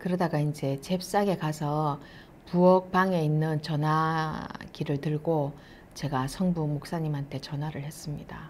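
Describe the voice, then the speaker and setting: A woman talks at a fairly slow pace in a very deep, low pitch. Her intonation is fairly even, and there is light background noise. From South Korea, Masan; South Korea. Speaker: missionary's wife; speaker. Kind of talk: testimony. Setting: online church meeting. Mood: calm, warm. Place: studio. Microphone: lapel.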